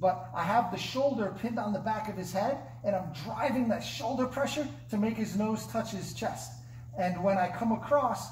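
The speech moves at a moderate pace. Audible room echo and light background noise come through. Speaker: martial arts instructor. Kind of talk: tutorial. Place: gym.

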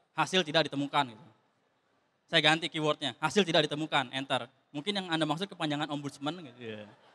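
At a very fast pace, a man speaks with a fairly high pitch. His pitch variation is ordinary. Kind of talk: stand-up comedy; stand-up comedy routine. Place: stage. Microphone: handheld.

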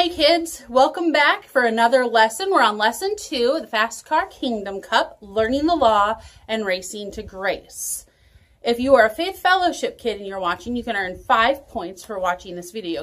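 A woman at a moderate pace, with very wide pitch swings. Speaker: children's church teacher. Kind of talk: children's Bible lesson video. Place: home room. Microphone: phone near.

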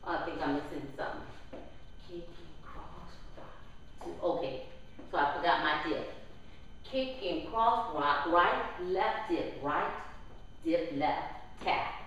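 In a room with strong echo and light background noise, a woman speaks at a very slow pace. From New Orleans, Louisiana. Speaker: line dance instructor. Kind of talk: dance class tutorial, step-by-step instruction with counted steps. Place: hall.

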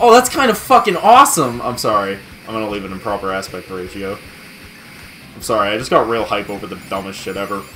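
Amid noticeable background noise, a man speaks at a moderate pace with very wide pitch swings. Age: 20s. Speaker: gaming video host. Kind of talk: casual let's-play commentary. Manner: animated.

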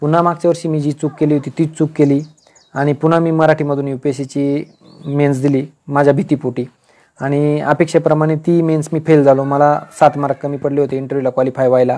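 A man with a fairly high pitch speaks in a monotone, flat delivery with a dark, mellow tone. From rural Maharashtra, Nashik district (Sinnar); Maharashtra. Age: 40s. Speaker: senior income tax officer giving career guidance. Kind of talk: motivational talk to exam aspirants. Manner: informal, conversational. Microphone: earbuds.

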